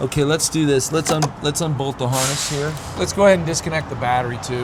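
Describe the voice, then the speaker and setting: Through noticeable background noise, a man talks at a very fast pace with ordinary pitch variation. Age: 60s. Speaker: auto mechanic. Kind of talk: casual chat while working on a truck. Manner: halting, many fillers and restarts; animated.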